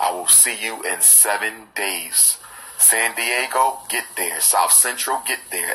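Fairly even intonation from a male speaker. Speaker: educator addressing supporters. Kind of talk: casual vlog chat with announcements. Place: home room. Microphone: phone near.

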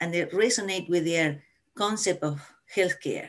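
With an Argentine accent, a woman talks at a moderate pace with ordinary pitch variation against a quiet background. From Argentina. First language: Spanish. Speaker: family physician; panelist. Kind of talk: panel discussion. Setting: video call. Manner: animated. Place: home room. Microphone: video call.

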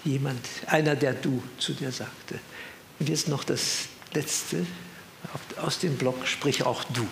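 Long, frequent pauses break up a man's very slow speech at medium pitch, with ordinary pitch variation. Audible room echo and light background noise surround him. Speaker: retired professor and author; retired professor. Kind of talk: talk with reminiscences and commentary. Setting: evening event with audience. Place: hall.

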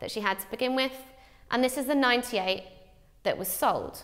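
Over a quiet background, a woman talks with ordinary pitch variation. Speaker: teacher. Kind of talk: tutorial. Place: studio. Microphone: lapel.

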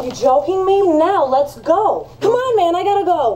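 An extremely high-pitched put-on character voice at a moderate pace, with clear background noise. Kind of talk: acted film dialogue. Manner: impatient, pushy, sarcastic.

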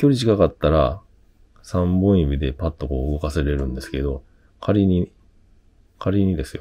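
At a moderate pace, this voice carries a dark, mellow tone, ordinary pitch variation, and long, frequent pauses. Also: man, very deep, low pitch for a man. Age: 50s. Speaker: tech YouTuber. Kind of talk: tutorial. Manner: casual, hesitant with fillers.

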